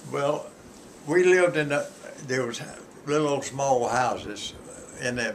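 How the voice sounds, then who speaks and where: A man with a Southern US accent, at a fairly slow pace with ordinary pitch variation, over noticeable background noise. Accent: Southern American. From Fort Myers, Florida. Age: 80s+. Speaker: grandfather. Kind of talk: telling childhood stories.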